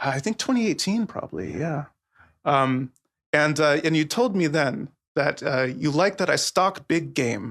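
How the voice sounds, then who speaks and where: Speaking in an American accent at a fairly slow pace, a man with a fairly high pitch and vocal fry uses lively intonation. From US Southwest, southern Arizona. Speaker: sociologist, academic. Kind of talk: podcast interview. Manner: hesitant, many fillers.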